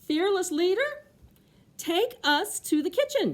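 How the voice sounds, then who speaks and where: A woman speaks in a put-on character voice, squeaky and extremely high in pitch. Her voice is raised and projected, moving at a fairly slow pace. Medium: read story. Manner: upbeat, playful.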